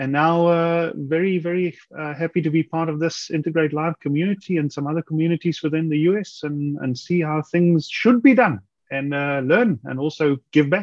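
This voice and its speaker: Speaking in a South African accent, a man with a fairly high voice talks at a moderate pace with hardly any pauses and ordinary pitch variation, in a dry sound with no echo over a quiet background. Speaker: automation engineer; webinar presenter. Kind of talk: self-introduction. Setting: video call. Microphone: video call.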